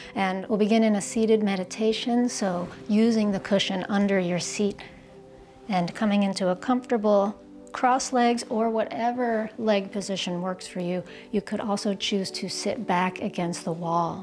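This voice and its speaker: A woman with ordinary pitch variation and faint music in the background. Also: moderate pace. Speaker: yoga teacher. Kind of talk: guided yoga instruction. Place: home room.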